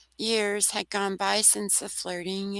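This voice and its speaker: A woman with a bright, sharp tone speaks fairly slowly at a medium pitch in a flat monotone, the sound dry and close with no echo. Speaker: bigfoot researcher. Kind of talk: storytelling interview.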